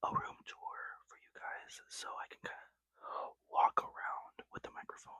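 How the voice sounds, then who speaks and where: A man whispers at a fairly slow pace. The sound is dry and close, with no echo. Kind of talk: casual talk to camera. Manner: whispered.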